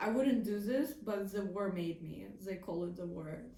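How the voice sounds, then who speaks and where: Noticeable background noise and audible room echo accompany speech delivered at a fairly slow pace. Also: woman. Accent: non-native. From a war-affected country. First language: not English. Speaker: video commentator. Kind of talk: casual commentary monologue.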